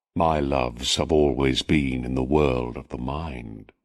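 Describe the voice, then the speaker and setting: A man's very deep, low voice with vocal fry, at a fairly slow pace. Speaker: audiobook narrator. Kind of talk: reading aloud.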